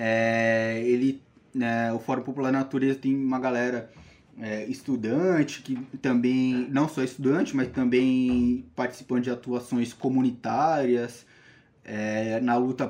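Speaking in a flat monotone at a fairly slow pace, a man holds a medium pitch. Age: 20s. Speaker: biology student and environmental activist. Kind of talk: casual interview.

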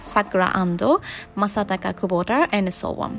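Backed by music in the background, a woman speaks at a very slow pace. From Japan. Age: 30s. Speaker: podcast host. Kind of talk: bilingual personal monologue podcast.

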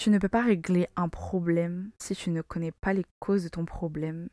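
Dry and close with no echo, a woman's fairly low voice has a dark, mellow tone, fairly even intonation and a fairly slow pace. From Madagascar. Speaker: podcast host. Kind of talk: solo podcast monologue. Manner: casual.

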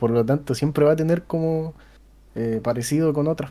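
A man's fairly high voice with a dark, mellow tone, a Chilean accent, ordinary pitch variation and a moderate pace. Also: very clean recording, silent background. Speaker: podcast host. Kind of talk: casual chat.

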